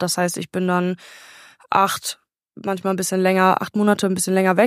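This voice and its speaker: The recording is dry and close, with no echo. A woman talks at medium pitch. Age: 20s. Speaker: technical supervisor on a cruise ship. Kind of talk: remote interview. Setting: remote call from a ship.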